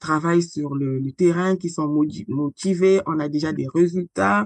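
Delivery is fairly slow, with ordinary pitch variation. The sound is dry and close, with no echo. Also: woman. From Republic of the Congo (Brazzaville). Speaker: founder and president of an agroecology association. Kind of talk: interview conversation.

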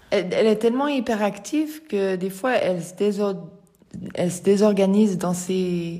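A woman at a medium pitch and a fairly slow pace, with audible room echo and noticeable background noise. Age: 50s. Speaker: person living with multiple sclerosis. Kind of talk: testimony. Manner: halting.

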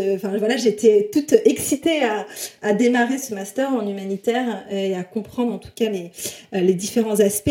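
A woman's fairly high-pitched voice comes through with noticeable background noise. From southwest France, small village. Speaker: HR recruitment expert and influencer. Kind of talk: interview.

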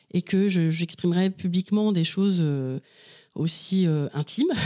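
In a very clean recording with a silent background, a woman's dark, mellow voice sits at medium pitch with ordinary pitch variation, dry and close with no echo. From western France (Anjou / Mayenne). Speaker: novelist. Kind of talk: interview.

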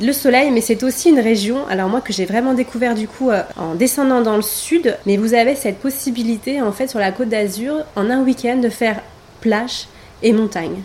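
Noticeable background noise behind a woman's fairly high-pitched speech. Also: ordinary pitch variation, moderate pace. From Paris, France. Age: 30s. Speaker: massage therapist and wellness coach. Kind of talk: interview. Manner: hesitant, many fillers.

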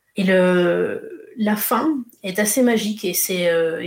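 A woman talks with ordinary pitch variation while noticeable background noise is present. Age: 30s. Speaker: travel blogger and photographer. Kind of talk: interview testimony.

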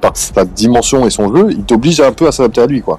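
Against noticeable background noise, a man with a medium pitch speaks at a fairly quick pace, his pitch swinging very widely. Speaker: basketball podcaster. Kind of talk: casual chat.

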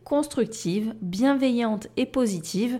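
A woman's dark, mellow voice with ordinary pitch variation, in a very clean recording with a silent background. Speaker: life coach and podcast host. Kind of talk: solo podcast monologue. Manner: careful articulation, deliberately not fast.

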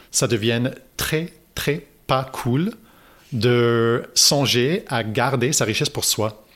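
On a very clean recording, silent background, the voice shows ordinary pitch variation. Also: man. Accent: English. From Toronto, Canada. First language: English (speaking French). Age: 30s. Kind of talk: interview. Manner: halting, many repetitions.

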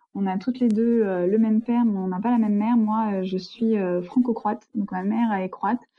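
The voice is somewhat breathy and moves at a fairly quick pace. Its intonation stays monotone and flat. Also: woman, fairly high pitch for a woman. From France. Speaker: interviewee, sister of expatriate. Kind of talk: interview.

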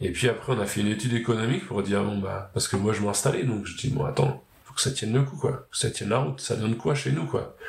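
Very fast male speech with lively intonation and noticeable background noise. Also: medium pitch for a man. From Normandy (Pays de Caux), France. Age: 30s. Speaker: farmer and agricultural trainer. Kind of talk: interview. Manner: hesitant, many fillers.

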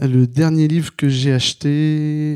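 Very slowly and with fairly even intonation, a man speaks in a dark, mellow tone. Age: 30s. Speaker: listener. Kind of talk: questionnaire answers. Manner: halting.

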